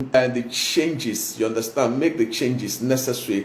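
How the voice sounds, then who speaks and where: A man with a medium-pitched voice speaks over noticeable background noise. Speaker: motivational speaker and pastor. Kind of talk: motivational talk. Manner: fast.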